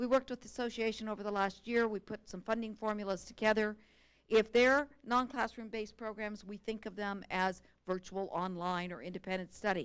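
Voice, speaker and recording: Woman's fairly high voice with fairly even intonation and big swings in loudness. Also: fairly quick pace. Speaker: state education staff presenter. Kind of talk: formal presentation to a board. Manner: fast.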